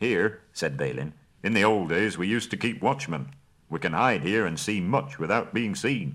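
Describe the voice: The intonation sounds lively. It is plain reading aloud.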